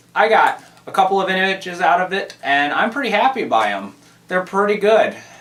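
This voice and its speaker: A man's fairly quick delivery is heard with noticeable background noise behind it. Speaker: camera reviewer. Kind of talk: casual vlog.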